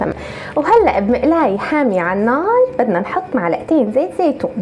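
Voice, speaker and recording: Through noticeable background noise, a woman in a Syrian coastal accent speaks at a moderate pace and high pitch, her pitch swinging very widely. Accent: Tartus dialect, Syrian coast. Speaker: cooking video host. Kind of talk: cooking tutorial. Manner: casual, chatty.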